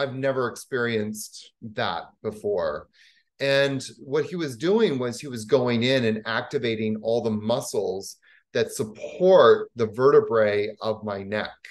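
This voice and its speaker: A man with a Canadian accent speaks at a fairly slow pace with ordinary pitch variation. The background is quiet. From Canada. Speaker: yoga teacher; yoga teacher guest. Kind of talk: casual chat; guided exercise instruction. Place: home room. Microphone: video call.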